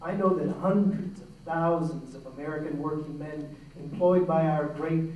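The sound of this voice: Strong room echo surrounds a man speaking at a fairly slow pace with a fairly high pitch.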